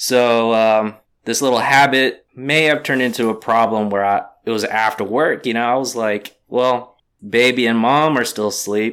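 On a very clean recording with a silent background, a man with an American accent uses a normal speaking voice at medium pitch, speaking at a moderate pace with fairly even intonation. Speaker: pinball lounge owner. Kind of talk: casual interview.

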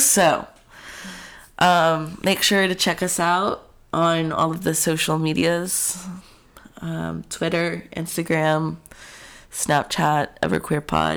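Over a silent background in a very clean recording, a man with a high pitch speaks at a very slow pace, with fairly even intonation and long, frequent pauses. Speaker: podcast co-host. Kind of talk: casual chat. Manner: laughs often.

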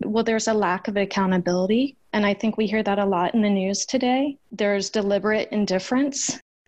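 Against a quiet background, a woman with an unremarkable speaking voice talks at a fairly quick pace with hardly any pauses, medium pitch, fairly even intonation and very even loudness. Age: 40s. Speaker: nonprofit founder and family law reform advocate. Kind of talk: interview.

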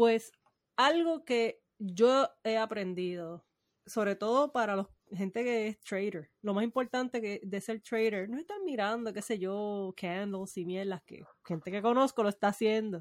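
The voice moves at a fairly slow pace with ordinary pitch variation, recorded with a dry, close sound and no echo. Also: woman, fairly high pitch for a woman. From Puerto Rico. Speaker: podcast co-host. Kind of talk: casual chat.

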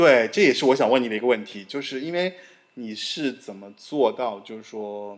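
Using a normal speaking voice, a man talks at a moderate pace in a medium pitch with lively intonation and big swings in loudness. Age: middle-aged. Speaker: podcast host. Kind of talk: casual interview conversation.

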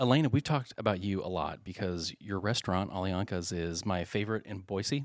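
Over a silent background in a very clean recording, a man with a plain, everyday voice talks fairly quickly at a fairly low pitch, with ordinary pitch variation and hardly any pauses. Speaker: podcast host. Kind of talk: casual chat.

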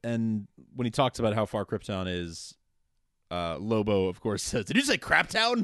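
A man with a plain, everyday voice speaks at medium pitch with ordinary pitch variation, the sound dry and close with no echo and a quiet background. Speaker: podcast host. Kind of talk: casual podcast recap chat. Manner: jokey, laughing often.

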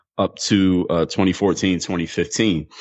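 With a Philadelphia accent, a man speaks at a moderate pace, his very deep, low voice following fairly even intonation. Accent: Philadelphia American English. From US, Philadelphia. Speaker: former pro basketball player and mental toughness coach. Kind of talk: interview.

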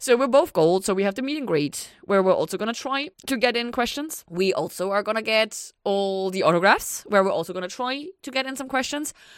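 On a very clean recording with a silent background, a woman with a non-native accent talks at a fairly quick pace with hardly any pauses, her fairly high voice carrying lively intonation. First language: not English. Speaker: podcast co-host. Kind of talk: casual chat.

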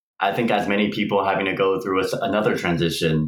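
A man's fairly low voice with an American accent, fairly even intonation and audible room echo. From Texas, Houston. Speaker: navy veteran. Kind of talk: casual interview.

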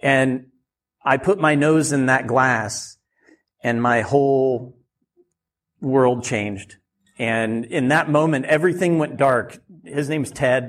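Talking with an American accent, a man speaks at a very slow pace with long, frequent pauses, in a medium pitch with ordinary pitch variation. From rural Oregon. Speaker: winemaker and winery owner. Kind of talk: live podcast interview. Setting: live event with audience.

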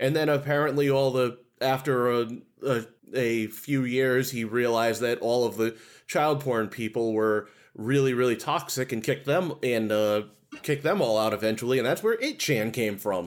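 At a moderate pace, a man with an unremarkable speaking voice speaks in a medium pitch with ordinary pitch variation, on a very clean recording with a silent background. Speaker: podcast co-host. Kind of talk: casual comedic chat.

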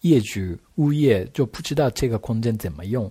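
A man's somewhat breathy voice, dark and mellow in tone, with lively intonation on a very clean recording against a silent background. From Japan. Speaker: architect. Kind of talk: casual interview chat. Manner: halting, hesitant with fillers.

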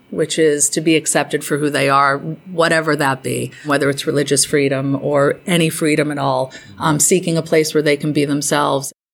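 A woman with an American accent speaks at a very deep, low pitch in a flat monotone. Her pace is moderate, with hardly any pauses. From Massachusetts, Cape Cod (Provincetown). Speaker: museum director. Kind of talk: interview.

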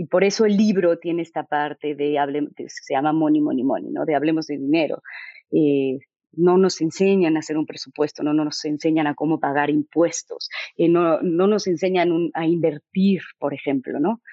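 A woman speaks at a moderate pace in a fairly low pitch, her tone intense. Her intonation stays fairly even. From Mexico. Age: 40s. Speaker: author. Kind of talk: interview. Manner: articulate, intense.

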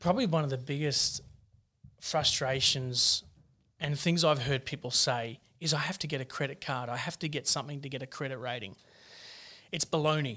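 Fairly quick speech in an Australian accent, with long, frequent pauses, a bright, sharp tone and fairly even intonation. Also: man, fairly high pitch for a man. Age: 40s. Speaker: mortgage broker. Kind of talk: podcast interview.

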